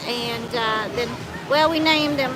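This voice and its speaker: A woman with an American accent speaks at a high pitch. Music plays in the background, and the room echo is audible. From southeastern Kentucky. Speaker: homesteader. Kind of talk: casual chat.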